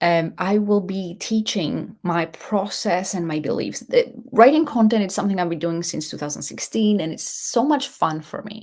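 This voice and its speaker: Speaking at a fairly slow pace, a woman with a non-native accent has a medium pitch and lively intonation. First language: not English. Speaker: leadership coach and show host. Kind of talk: live show monologue. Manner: halting, with false starts.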